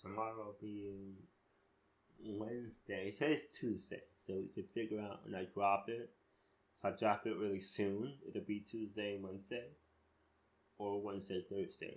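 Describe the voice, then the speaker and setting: Pausing long and often, a man with a fairly low voice talks at a moderate pace with fairly even intonation. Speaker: spoken word artist and essay writer. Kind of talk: casual monologue. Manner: rambling with many fillers and restarts; unscripted, free-flowing.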